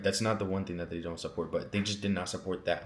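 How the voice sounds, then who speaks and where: Speaking with an American accent, a man keeps a monotone, flat intonation at a very deep, low pitch. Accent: American, youthful casual. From Pennsylvania, US. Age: young. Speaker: youtuber. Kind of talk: story time monologue. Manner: casual, filler-heavy.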